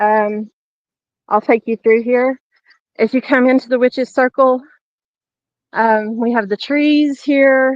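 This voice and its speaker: A woman with a Southern US accent speaks very slowly at a fairly high pitch, her intonation fairly even. The sound is dry and close, with no echo. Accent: southern twang. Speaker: tour guide at a paranormal shrine. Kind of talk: guided walking tour on a live stream. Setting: outdoors at dusk.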